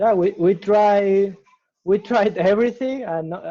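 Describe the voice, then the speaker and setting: Very slowly and with lively intonation, a man with a Spanish accent speaks in a dark, mellow tone. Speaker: startup founder. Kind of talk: interview. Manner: halting, with self-corrections.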